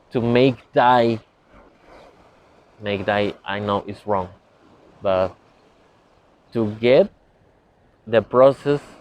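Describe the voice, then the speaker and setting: A man's fairly low voice with a non-native accent, ordinary pitch variation, a very slow pace and long, frequent pauses. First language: not English. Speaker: spiritual teacher. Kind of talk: lecture. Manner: halting.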